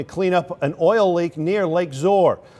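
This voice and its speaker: Pitch variation in this voice is ordinary. The speaker is a man. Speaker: television news anchor. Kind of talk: TV news anchor delivery.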